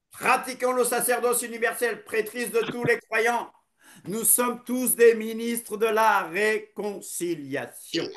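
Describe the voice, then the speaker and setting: With ordinary pitch variation, the voice proceeds at a very slow pace. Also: man, extremely high pitch for a man. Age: 60s. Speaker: preacher. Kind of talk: sermon.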